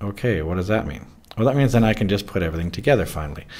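A man's somewhat breathy voice with lively intonation. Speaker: physics teacher. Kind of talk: tutorial.

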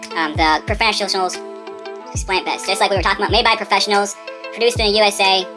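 Over clear music in the background, a man with a high pitch speaks at a very fast pace in a raised, projected voice. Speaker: vlogger. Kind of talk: casual talk to camera. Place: home room.

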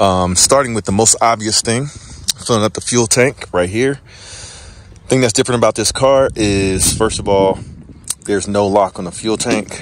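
A man talks in a plain, everyday voice, with a dry sound with no echo and light background noise. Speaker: channel host. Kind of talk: tutorial. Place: street. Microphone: phone near.

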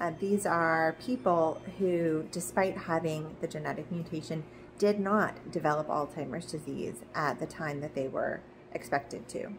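Speaking at a fairly slow pace, a woman with a fairly low pitch and ordinary pitch variation is heard over noticeable background noise. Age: 40s. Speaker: video blogger sharing her Alzheimer's risk. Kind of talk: personal explainer monologue. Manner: some hesitations. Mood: calm, earnest, hopeful. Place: home room. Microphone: phone near.

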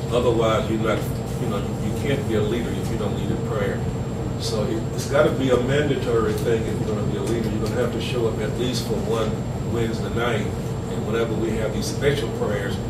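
Loud background noise runs under the recording. A man speaks at a fairly quick pace. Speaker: pastor leading a meeting. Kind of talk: informal teaching talk. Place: meeting room. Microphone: camera far.

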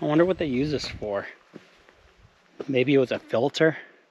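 Talking at a moderate pace, the man's voice comes through as a dry sound with no echo. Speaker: outdoor explorer vlogger. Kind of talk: casual vlog chat. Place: open country. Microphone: phone near.

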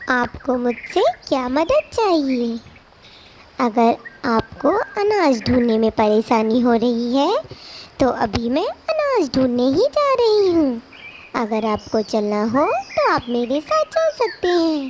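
Using a cartoonish character voice, a woman speaks high-pitched at a fairly slow pace, with lively intonation and very even loudness. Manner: polite, soft, shy.

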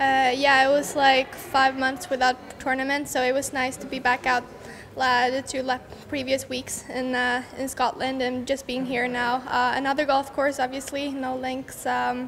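Over light background noise, a woman talks at a moderate pace in a high pitch with monotone, flat intonation. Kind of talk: interview answer. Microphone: handheld.

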